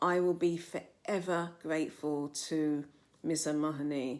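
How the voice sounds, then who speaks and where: With a London accent, a woman speaks at a fairly low pitch. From south London, England. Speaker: novelist. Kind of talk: personal testimony to camera. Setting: filmed on camera. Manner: some hesitations and repeated words.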